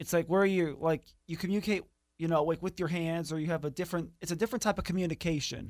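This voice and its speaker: Speaking at a very fast pace with an American accent, a man uses a high pitch and fairly even intonation. The recording is very clean, with a silent background. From US Midwest. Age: 20s. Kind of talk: interview.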